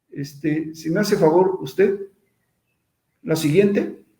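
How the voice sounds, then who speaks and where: Audible room echo surrounds a dark, mellow tone delivered at a fairly slow pace. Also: man. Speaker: invited speaker on social oversight of public works. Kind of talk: online lecture with slides. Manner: repetitive, halting restarts.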